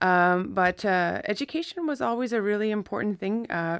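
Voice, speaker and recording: A woman with an unremarkable speaking voice talks at a moderate pace with a Canadian accent and ordinary pitch variation. The recording is very clean, with a silent background. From New Brunswick, Canada (Mi'kmaq First Nation near Campbellton). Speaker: law professor. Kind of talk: interview.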